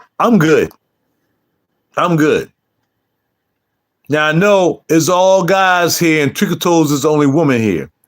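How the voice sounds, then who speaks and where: A man talks in an animated tone with ordinary pitch variation and very even loudness, leaving long, frequent pauses. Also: fairly high pitch for a man. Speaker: YouTube livestreamer and fragrance reviewer. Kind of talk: casual livestream chat.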